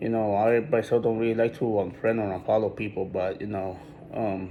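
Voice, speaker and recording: A man with a fairly low pitch speaks at a fairly quick pace in a monotone, flat intonation. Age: 20s. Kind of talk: personal video talk. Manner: halting.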